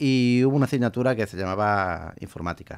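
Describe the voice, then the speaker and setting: Lively intonation from a man. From Huelva, Andalusia, Spain; Andalusia, Spain. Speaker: Twitch streamer. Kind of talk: radio interview; interview answer. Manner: halting, repeats words. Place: studio. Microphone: studio mic.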